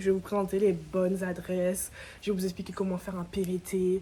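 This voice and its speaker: An animated woman talks at a fairly quick pace. Her pitch is medium, and background noise is noticeable. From Guadeloupe. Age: 20s. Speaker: vlogger. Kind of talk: casual vlog talk to camera. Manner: fast.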